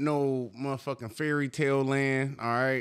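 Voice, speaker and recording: A man speaks at a very slow pace with a fairly high pitch. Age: 30s. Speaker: podcast co-host. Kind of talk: casual chat. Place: studio. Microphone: studio mic.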